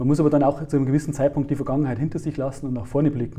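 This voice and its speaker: A man speaks at a medium pitch in a dark, mellow tone, somewhat breathy, with fairly even intonation. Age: 40s. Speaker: IT consultant and author. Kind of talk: interview.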